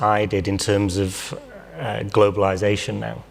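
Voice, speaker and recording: This man has a fairly low pitch and a fairly slow pace. There is noticeable background noise. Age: 40s. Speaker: panel participant. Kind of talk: panel discussion. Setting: stage with audience. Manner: hesitant.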